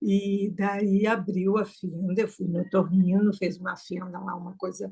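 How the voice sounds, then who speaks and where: Talking at a fairly slow pace, a woman keeps a monotone, flat intonation while her loudness swings widely. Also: medium pitch for a woman. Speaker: choir singer and student. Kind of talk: casual chat.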